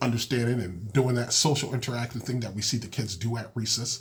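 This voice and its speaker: There's noticeable background noise as a man with an American accent speaks at a medium pitch. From Massachusetts, Springfield. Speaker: podcast host, school counselor and children's author. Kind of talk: podcast monologue. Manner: casual with many fillers.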